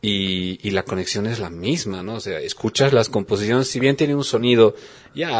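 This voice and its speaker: Here is a normal speaking voice with ordinary pitch variation at a moderate pace. The recording is very clean, with a silent background. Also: man. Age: 40s. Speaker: radio host. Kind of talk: radio interview.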